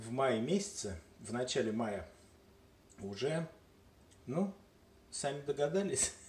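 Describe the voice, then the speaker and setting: A somewhat breathy man at a medium pitch, with very wide pitch swings, a very slow pace and long, frequent pauses, in audible room echo. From Moscow, Russia. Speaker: home video maker. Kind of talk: casual vlog talk to camera. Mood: joking, playful. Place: kitchen. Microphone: phone near.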